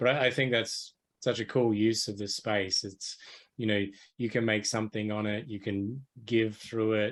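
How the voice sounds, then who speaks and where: A man's fairly low, monotone voice with flat intonation and an Australian accent, at a moderate pace against a quiet background. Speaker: podcast host. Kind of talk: podcast interview.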